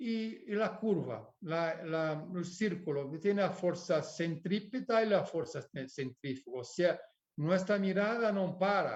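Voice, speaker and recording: Very slow, lively intonation from a man pitched high. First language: Portuguese (speaking Spanish). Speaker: architect. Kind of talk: lecture. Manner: halting.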